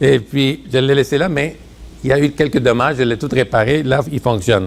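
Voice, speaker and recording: A man speaks at a moderate pace in a normal speaking voice. His pitch sits in the middle range. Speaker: preacher. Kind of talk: sermon.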